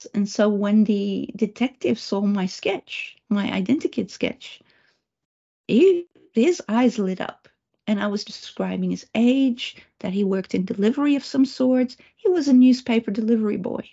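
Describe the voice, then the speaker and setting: A woman with a Dutch accent has a fairly high pitch and a somewhat breathy voice. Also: ordinary pitch variation, moderate pace. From Netherlands. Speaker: remote viewer and psychic trainer. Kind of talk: presentation talk. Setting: video call.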